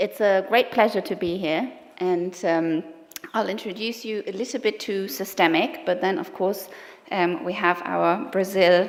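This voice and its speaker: A woman with a German accent speaks at a fairly slow pace, her pitch medium and its variation ordinary. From Germany. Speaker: sustainability consultant. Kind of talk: conference talk. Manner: hesitant, many fillers.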